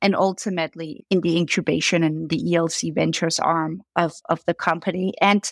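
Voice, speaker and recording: The speaker talks at a fairly quick pace with a slight Danish accent, fairly even intonation and hardly any pauses, in a dry, close sound with no echo. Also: woman. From Denmark. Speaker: brand founder and CEO. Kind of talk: podcast interview. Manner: repeats words when starting sentences.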